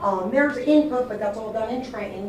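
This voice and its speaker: A woman talks at a fairly quick pace. There is noticeable background noise and audible room echo. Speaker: school curriculum administrator. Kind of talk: public meeting presentation. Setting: school board meeting. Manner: loud.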